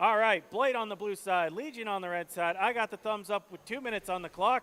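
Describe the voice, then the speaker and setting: Bright and sharp in tone, a raised, projected voice speaks at a fairly quick pace, the sound dry and close with no echo. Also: man, high pitch for a man, ordinary pitch variation. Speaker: robot combat commentator. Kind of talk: live commentary. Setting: indoor event arena, livestream. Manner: animated.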